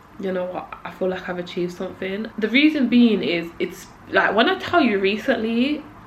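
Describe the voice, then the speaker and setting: A woman speaks at a moderate pace. Room echo is audible, and there is noticeable background noise. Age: 20s. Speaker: YouTuber. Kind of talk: personal vlog monologue. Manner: casual, filler-heavy.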